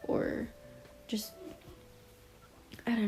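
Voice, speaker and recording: Music plays in the background as a soft-spoken woman talks. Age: young. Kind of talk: casual talk to camera. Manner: soft, quiet.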